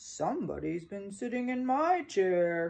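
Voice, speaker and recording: This growling voice is a put-on character. It sits at a middle pitch and moves fairly slowly. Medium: read story.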